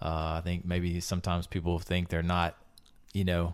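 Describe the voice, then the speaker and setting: The speaker keeps a medium tempo. Background silence and a very clean recording frame the voice. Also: man. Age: 40s. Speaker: lead pastor hosting church podcast. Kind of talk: casual interview conversation.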